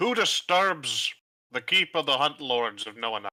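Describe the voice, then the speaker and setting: A man's put-on character voice, gruff and shouting, fairly high-pitched, at a moderate pace. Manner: yelling.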